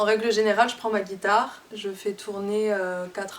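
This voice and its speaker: A woman at a moderate pace in a monotone, flat intonation, with noticeable background noise. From southern France, near Toulouse. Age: 20s. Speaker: singer-songwriter. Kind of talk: interview. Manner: hesitant, many fillers.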